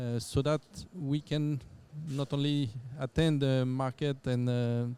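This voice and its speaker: Over noticeable background noise, a man with a French accent talks at a fairly slow pace with a medium pitch and fairly even intonation. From France. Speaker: company general manager. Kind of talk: podcast interview. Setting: conference venue. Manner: halting, many fillers and repetitions.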